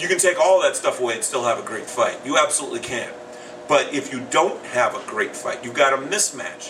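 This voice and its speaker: Noticeable background noise fills the recording. Over it, a man speaks fairly quickly. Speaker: boxing podcast co-host. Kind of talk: casual boxing podcast discussion.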